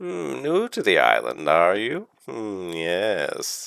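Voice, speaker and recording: Using a put-on character voice, a man talks very slowly at a fairly low pitch. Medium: actual play. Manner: cryptic, taunting, broken speech.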